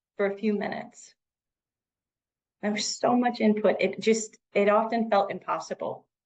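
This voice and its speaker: At a moderate pace, a woman with an American accent talks in a fairly high pitch. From US Midwest, Missouri then Lake County, Illinois. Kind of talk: personal storytelling to audience.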